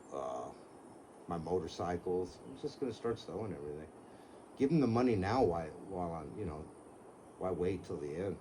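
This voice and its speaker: A man's very deep, low voice with a dark, mellow tone and lively intonation, at a fairly quick pace with long, frequent pauses, amid audible room echo. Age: 70s. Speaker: car seller, retired contractor. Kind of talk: casual chat. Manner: casual, swears.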